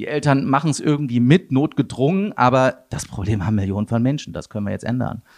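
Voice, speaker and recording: A man at medium pitch, very fast pace and lively intonation. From Germany, Wuppertal area (North Rhine-Westphalia). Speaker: tech startup CEO. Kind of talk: interview. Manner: hesitant, many fillers.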